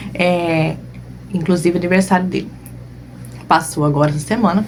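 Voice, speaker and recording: Fairly low pitch from a woman, ordinary pitch variation, and noticeable background noise behind her. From southern Brazil (Rio Grande do Sul), moved to Cuiabá at 13. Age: 30s. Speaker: balloon decorator and online course teacher. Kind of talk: live online class, personal story. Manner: casual, frequent filler 'né'.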